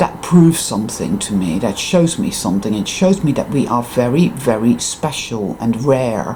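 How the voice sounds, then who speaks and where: Her pitch very deep and low, a woman talks at a moderate pace with very wide pitch swings and hardly any pauses over noticeable background noise. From Netherlands. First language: Dutch. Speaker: spiritual vlogger. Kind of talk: casual vlog monologue. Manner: emphatic.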